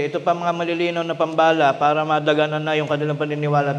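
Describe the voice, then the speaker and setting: A man talks with audible room echo around his voice. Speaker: preacher. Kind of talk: sermon. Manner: loud, raised voice; energetic.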